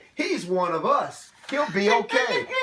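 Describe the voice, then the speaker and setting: Putting on a character voice, a man growls at an extremely high pitch and a fairly slow pace. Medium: read story. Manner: gruff, judgmental.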